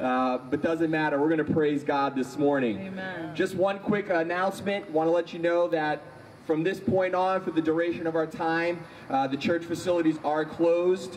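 Light background noise sits behind a man's voice. He speaks high in pitch with ordinary pitch variation. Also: moderate pace. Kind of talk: service announcements and prayer intro. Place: street. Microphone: handheld.

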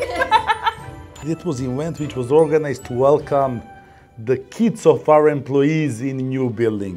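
A man's fairly high pitch with a strong Eastern European accent, a fairly slow pace, ordinary pitch variation, and faint music in the background. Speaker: company employee, delivery team manager. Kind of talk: non-native English with grammar slips. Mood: relaxed, amused. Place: office.

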